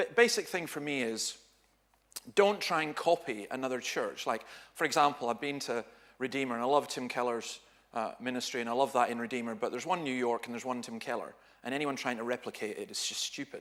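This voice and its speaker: A man with a Dundee accent, medium pitch, very fast pace. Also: ordinary pitch variation. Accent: Scottish (Dundee). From Scotland, Dundee. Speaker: pastor. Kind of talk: seminar talk. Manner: animated.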